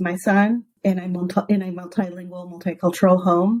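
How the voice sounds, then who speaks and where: The voice is somewhat breathy, with a dark, mellow tone. Its intonation stays monotone and flat. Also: woman. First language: Spanish. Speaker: educator, podcast guest. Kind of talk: interview. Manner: halting, with many false starts.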